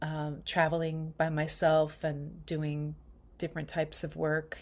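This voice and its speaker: A woman with a New York accent and a very deep, low pitch, in a very clean recording with a silent background. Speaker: spiritual retreat leader. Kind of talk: casual vlog monologue. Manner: casual with many fillers.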